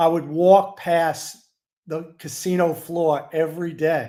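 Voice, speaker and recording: On a very clean recording with a silent background, a man with a New York accent speaks at a high pitch in a dark, mellow tone. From New York City. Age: 60s. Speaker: sports betting handicapper. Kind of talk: interview.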